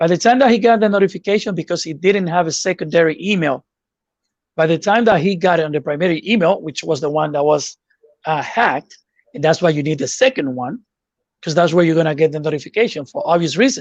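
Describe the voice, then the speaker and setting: A man with a non-native accent speaks at a very fast pace in a high pitch. His intonation is lively, and the sound is dry and close with no echo. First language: not English. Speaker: YouTube growth coach. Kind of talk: webinar Q&A.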